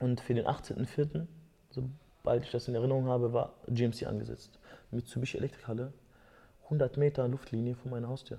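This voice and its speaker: A man's somewhat breathy voice, dark and mellow in tone, at medium pitch, with monotone, flat intonation and a moderate pace. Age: 20s. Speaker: MMA fighter. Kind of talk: casual chat.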